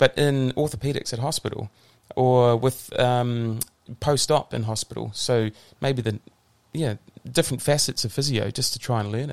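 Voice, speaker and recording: A man with a New Zealand accent speaks at a moderate pace and a medium pitch. The sound is dry and close with no echo. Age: 40s. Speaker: physiotherapist. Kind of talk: casual interview.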